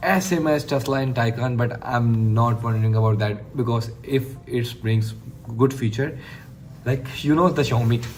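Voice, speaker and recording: A man with a Pakistani accent speaks at a fairly slow pace. The recording has noticeable background noise and audible room echo. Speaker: tech YouTuber. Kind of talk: casual product review monologue. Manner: enthusiastic; halting.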